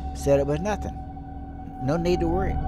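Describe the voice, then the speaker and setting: A man speaks with clear music in the background. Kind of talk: interview answer. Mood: grave, reflective. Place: home room.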